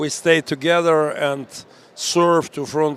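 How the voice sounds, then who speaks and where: A fairly high-pitched man at a fairly slow pace, with monotone, flat intonation. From Ukraine, Mariupol. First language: Ukrainian or Russian. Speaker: pastor and military chaplain commander. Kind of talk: interview. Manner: halting, broken English.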